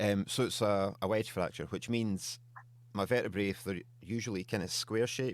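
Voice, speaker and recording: At a moderate pace, a man speaks with a fairly low pitch and a slight Scottish accent. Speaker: beard oil company co-founder. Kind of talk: podcast interview. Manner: casual.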